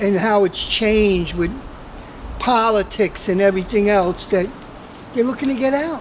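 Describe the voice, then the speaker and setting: A woman speaks at a moderate pace in a medium pitch, with ordinary pitch variation and very even loudness. She leaves long, frequent pauses, and there is noticeable background noise. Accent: New York. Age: 60s. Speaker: closeout merchant.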